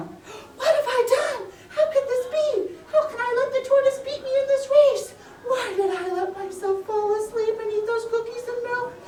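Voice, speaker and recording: A cartoonish character voice sits at an extremely high pitch and moves at a moderate pace. Light background noise and a slight echo are audible. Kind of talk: children's puppet show storytelling. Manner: distressed.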